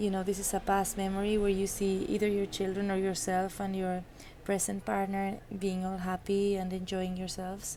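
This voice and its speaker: A woman with a non-native accent speaks at a medium pitch and a moderate pace, her dark, mellow tone paired with monotone, flat intonation. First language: not English. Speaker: tarot reader. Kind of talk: tarot reading monologue. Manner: halting, many fillers and restarts.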